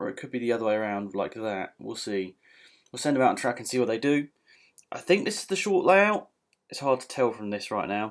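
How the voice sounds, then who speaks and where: Mumbling with a British accent, a man speaks at a fairly quick pace and a medium pitch. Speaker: gaming youtuber. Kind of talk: gameplay commentary. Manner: casual.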